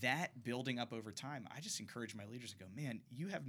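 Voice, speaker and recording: Bright and sharp in tone, this man speaks at medium pitch. He moves at a fairly quick pace with ordinary pitch variation. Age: 30s. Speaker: youth ministry worker. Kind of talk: casual chat. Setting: studio.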